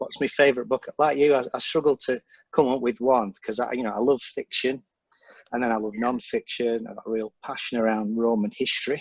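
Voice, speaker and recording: A man at medium pitch and a fairly quick pace, with a dry, close sound and no echo. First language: not English. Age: 50s. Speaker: council director. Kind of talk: panel discussion.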